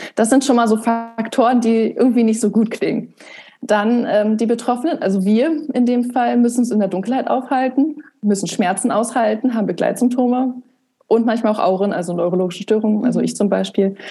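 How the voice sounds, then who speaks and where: A woman talks at a fairly quick pace in a fairly high pitch with ordinary pitch variation. She has an unremarkable speaking voice. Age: 20s. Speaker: blogger and author on migraine. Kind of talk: podcast interview.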